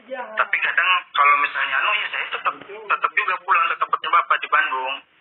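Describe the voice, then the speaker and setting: The speech is very fast, with lively intonation. Noticeable background noise is present. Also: man, high pitch for a man. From West Kalimantan, Indonesia. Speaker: case witness. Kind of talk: interview. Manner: halting.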